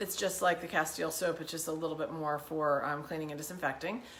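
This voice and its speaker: A woman with a fairly low pitch is heard with audible room echo. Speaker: wellness challenge host. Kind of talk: tutorial. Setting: home kitchen. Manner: fast; animated.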